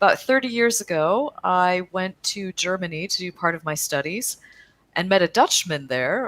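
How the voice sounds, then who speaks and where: With an American accent and an unremarkable speaking voice, a woman talks at a moderate pace with medium pitch and lively intonation, in a dry, close sound with no echo. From US Midwest, Chicago area. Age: middle-aged. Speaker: cycling advocacy organization executive. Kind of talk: interview. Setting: video call.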